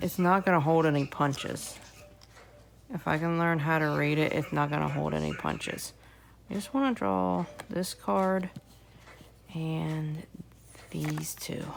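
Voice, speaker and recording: Long pauses come often in this rather slow delivery. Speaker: tarot reader. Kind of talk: casual tarot reading video. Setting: at home with sleeping baby. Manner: quiet, soft-spoken to not wake baby; hesitant with fillers.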